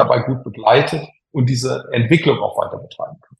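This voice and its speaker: At a moderate pace, a man speaks. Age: 50s. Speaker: engineer and tech executive. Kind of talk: interview. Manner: hesitant, frequent filler sounds.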